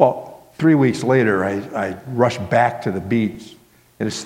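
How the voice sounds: A natural reading voice, its pitch rising and falling in an ordinary way.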